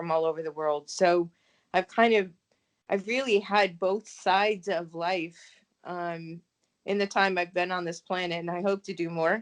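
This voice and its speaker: A woman speaks with a fairly low pitch. Her pace is moderate and her intonation fairly even. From US Midwest. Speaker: novelist. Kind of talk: interview. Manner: hesitant, many fillers.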